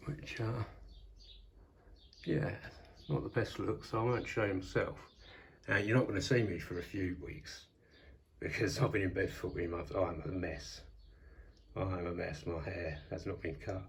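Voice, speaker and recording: A man speaks at a moderate pace in a very deep, low voice, somewhat breathy, with ordinary pitch variation, long and frequent pauses, and audible room echo. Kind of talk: casual vlog. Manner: hesitant, many fillers.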